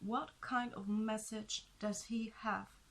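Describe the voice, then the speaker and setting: A woman at a very slow pace and fairly high pitch with a non-native accent. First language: not English. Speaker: tarot reader. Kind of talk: tarot reading. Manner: hesitant, with fillers.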